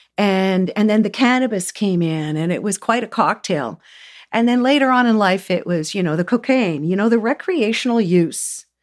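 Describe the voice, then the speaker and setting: A woman with a Canadian accent, medium pitch and lively intonation at a moderate pace, in a very clean recording with a silent background. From Southern Ontario, Canada. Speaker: energy healer. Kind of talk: casual chat. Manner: halting.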